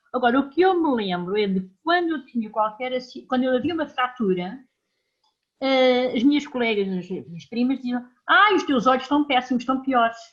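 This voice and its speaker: Over a quiet background, a woman speaks at a high pitch with lively intonation. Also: moderate pace. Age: 60s. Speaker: patient with brittle bone disease. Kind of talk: audience question.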